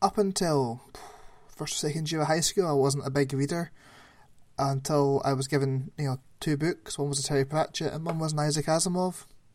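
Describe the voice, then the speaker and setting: A man speaks at a fairly quick pace in an unremarkable speaking voice, with fairly even intonation. The recording is very clean, with a silent background. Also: fairly high pitch for a man. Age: 30s. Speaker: podcast co-host. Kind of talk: casual chat.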